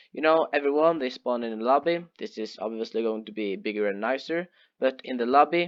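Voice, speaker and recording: The man talks at a moderate pace and a medium pitch, with ordinary pitch variation. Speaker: gaming YouTuber. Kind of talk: tutorial. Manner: halting. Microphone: headset microphone held too close.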